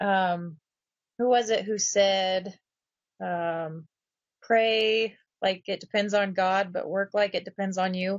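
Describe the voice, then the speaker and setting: Very slowly and in a flat monotone, a woman speaks at a medium pitch, leaving long, frequent pauses. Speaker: direct sales team member. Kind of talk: live stream recap chat. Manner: hesitant, many fillers; mumbling.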